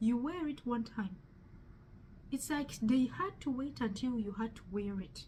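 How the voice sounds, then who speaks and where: Speaking at a fairly slow pace in a strong Ugandan accent, a woman uses a high voice and lively intonation. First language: Luganda. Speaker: testimony speaker. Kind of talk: testimony. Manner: halting.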